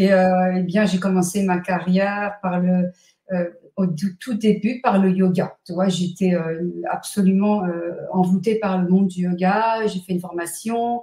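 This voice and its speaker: A somewhat breathy woman with a dark, mellow tone and monotone, flat intonation. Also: medium pitch for a woman, fairly slow pace. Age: 60s. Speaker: numerologist and author. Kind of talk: interview.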